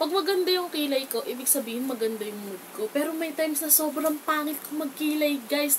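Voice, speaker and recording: Against noticeable background noise, a woman talks at a moderate pace with a high pitch and lively intonation. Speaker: beauty vlogger. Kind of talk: makeup tutorial. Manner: loud; casual, chatty.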